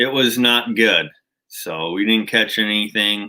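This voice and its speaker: A man with a Minnesotan accent, speaking at a very slow pace, with ordinary pitch variation. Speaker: outdoors channel host. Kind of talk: livestream chat with viewers.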